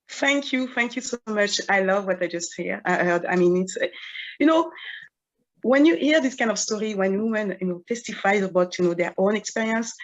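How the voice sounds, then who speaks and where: The speaker has a French accent. The intonation is lively. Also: woman, fairly high pitch for a woman, moderate pace. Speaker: event panel moderator. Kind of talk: panel discussion. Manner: hesitant, many fillers.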